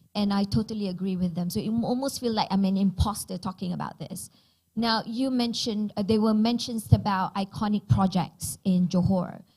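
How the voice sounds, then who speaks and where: This woman's tone is dark and mellow, somewhat breathy. Her pitch shows ordinary variation. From Malaysia, Penang. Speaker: digital transformation expert. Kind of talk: panel discussion. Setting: stage with audience.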